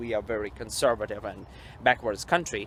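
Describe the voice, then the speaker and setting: A man speaks with a Russian accent. His pitch is medium. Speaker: vlogger. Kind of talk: walking vlog monologue. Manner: halting.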